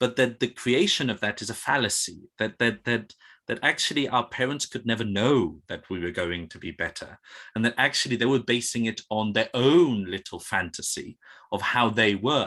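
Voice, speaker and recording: Against a quiet background, a man with a medium pitch and a bright, sharp tone speaks at a moderate pace with ordinary pitch variation. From Spain. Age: 30s. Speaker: classics researcher. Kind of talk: panel discussion. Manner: halting, many repetitions.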